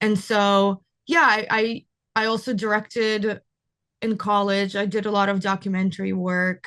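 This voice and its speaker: Against a quiet background, a woman talks in a Russian accent at a medium pitch. Her intonation is fairly even. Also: moderate pace. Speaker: cinematographer. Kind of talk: interview.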